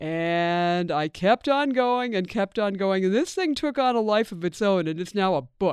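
With an American accent, a woman speaks at a moderate pace in an unremarkable speaking voice, her pitch medium and her intonation lively. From Pennsylvania. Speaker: photographer and author. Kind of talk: interview.

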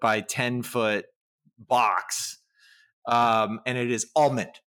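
A man speaks at a very slow pace with a bright, sharp tone. The recording is very clean, with a silent background. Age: 40s. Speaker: podcast co-host, academic. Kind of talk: casual chat.

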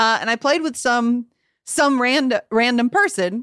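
In a very clean recording with a silent background, a woman speaks at a high pitch. Her intonation is lively. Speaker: video game podcast co-host. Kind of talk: casual comedic chat. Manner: animated.

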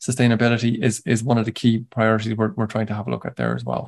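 With an Irish accent, a man talks at a very fast pace over a quiet background. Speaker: agricultural advisor, tillage specialist. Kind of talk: webinar presentation. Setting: online webinar.

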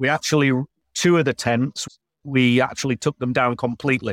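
A man with a Yorkshire accent and medium pitch talks at a fairly quick pace, the sound dry and close with no echo. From northern England, Yorkshire. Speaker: glamping business owner. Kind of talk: casual interview chat.

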